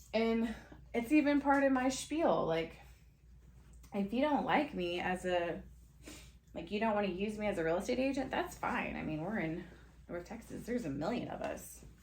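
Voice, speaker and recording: A loud woman with a bubbly tone and a fairly high voice speaks at a moderate pace, her pitch swinging very widely. Long, frequent pauses break her speech, and there is audible room echo and noticeable background noise. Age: 30s. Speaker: podcast host, real estate agent. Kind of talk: casual monologue podcast. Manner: loud, bubbly; rambling, conversational with fillers.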